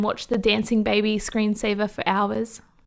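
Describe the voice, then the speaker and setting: At a moderate pace, a woman with an Australian accent speaks in a fairly high pitch. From Australia, New South Wales countryside west of Sydney. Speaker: YouTuber. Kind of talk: personal life story narration.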